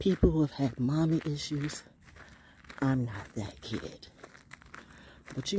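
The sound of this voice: A woman with a dark, mellow tone and a husky, rough edge talks at a fairly slow pace with lively intonation and long, frequent pauses.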